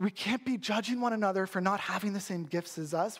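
Here a man speaks with a Canadian accent at a moderate pace. His pitch is high and his intonation lively. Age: 30s. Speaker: pastor. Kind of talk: sermon.

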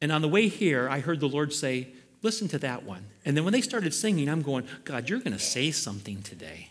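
Over audible room echo, a man with a fairly high pitch speaks at a fairly quick pace with very wide pitch swings. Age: 60s. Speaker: pastor. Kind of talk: sermon. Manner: animated.

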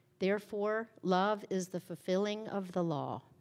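A normal speaking voice at a fairly slow pace. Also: woman. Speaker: scripture reader. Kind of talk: reading aloud. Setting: church.

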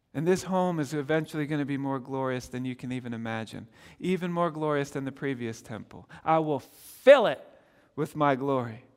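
Recorded very cleanly over a silent background, a man talks at a fairly quick pace. He has an unremarkable speaking voice with ordinary pitch variation. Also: fairly high pitch for a man. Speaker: pastor. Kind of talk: sermon. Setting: church.

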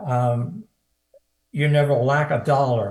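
Somewhat breathy, a man with an American accent speaks with ordinary pitch variation. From US Midwest, Cincinnati. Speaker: evangelist. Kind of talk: prophetic ministry. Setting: video call.

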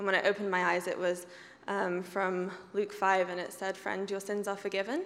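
Talking at a fairly quick pace, a woman with an English accent keeps a medium pitch and monotone, flat intonation. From England. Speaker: church member sharing testimony. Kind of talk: testimony.

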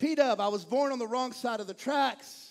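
Animated in tone, a man with a Texan accent talks at an extremely high pitch. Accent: Texan Southern US. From East Texas. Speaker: pastor. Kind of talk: sermon. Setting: church.

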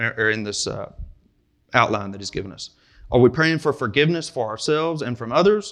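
In a Kentucky accent, a man speaks with a bright, sharp tone. The background is quiet. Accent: Kentucky Southern US. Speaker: preacher. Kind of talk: sermon. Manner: halting, frequent repetitions and fillers.

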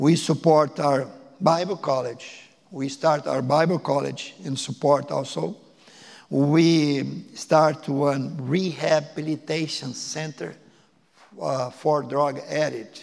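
At a very slow pace, a man with a fairly high pitch keeps a fairly even intonation. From Brazil (Porto Alegre). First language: Portuguese. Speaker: missionary. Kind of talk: sermon. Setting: church. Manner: halting.

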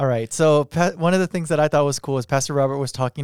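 Recorded very cleanly against a silent background with a dry, close sound and no echo, a man talks at medium pitch in a plain, everyday voice with ordinary pitch variation. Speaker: podcast host. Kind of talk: casual chat.

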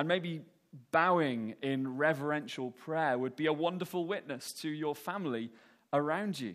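A man speaks in a normal speaking voice, fairly high-pitched for a man, at a moderate pace with ordinary pitch variation, on a very clean recording with a silent background. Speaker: preacher. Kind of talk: sermon. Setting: church.

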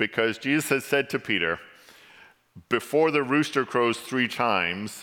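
A man in a bright, sharp tone at a fairly slow pace. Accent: English. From England. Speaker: church elder, lay preacher. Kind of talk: sermon. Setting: church.

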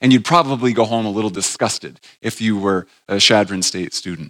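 Speaking at a fairly quick pace with an American accent, a man has an ordinary speaking voice with ordinary pitch variation, and the sound is dry and close with no echo. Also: very clean recording, silent background. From New England, north of Boston. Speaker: church elder and Bible teacher. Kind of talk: teaching session. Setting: stage with audience. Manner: casual, conversational.

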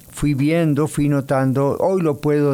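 A man's dark, mellow tone at a fairly slow pace. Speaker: radio host and pastor. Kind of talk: radio talk and sermon. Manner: relaxed, informal.

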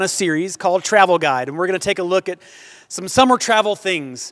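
A man with an American accent, high-pitched, very fast, with lively intonation and big swings in loudness. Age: 40s. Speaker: pastor. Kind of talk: sermon. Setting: church with congregation.

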